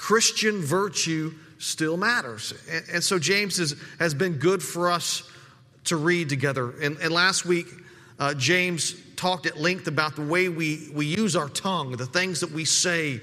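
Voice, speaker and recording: The speaker goes at a fairly slow pace with ordinary pitch variation, against noticeable background noise. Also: man, high pitch for a man. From desert region. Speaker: pastor. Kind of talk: sermon. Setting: church. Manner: halting, frequent word repetitions.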